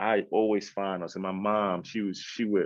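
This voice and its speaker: A man with a New York accent talks at a moderate pace and a fairly low pitch. His intonation is monotone and flat. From Queens, New York. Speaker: actor and entrepreneur. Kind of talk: podcast interview.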